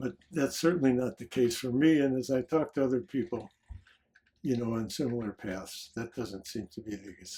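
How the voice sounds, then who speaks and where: A man with an American accent speaks at a moderate pace and medium pitch in a dark, mellow, somewhat breathy voice. His intonation is lively, and his loudness swings widely. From US Midwest, Detroit, Michigan. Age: 80s+. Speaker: psychologist and author. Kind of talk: interview conversation. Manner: reflective, with filler words.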